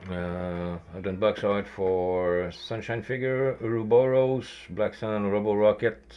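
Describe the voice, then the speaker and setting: His voice sits fairly low, with ordinary pitch variation. The man speaks at a very slow pace. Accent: strong Quebec. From Quebec. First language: French. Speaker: miniature painter streamer. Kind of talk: casual live stream chat.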